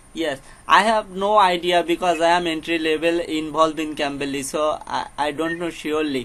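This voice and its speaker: A man's bright, sharp voice in a Bengali accent, fairly high in pitch, with fairly even intonation at a moderate pace and hardly any pauses. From Bangladesh, Jessore. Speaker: English learner. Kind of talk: casual chat. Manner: halting.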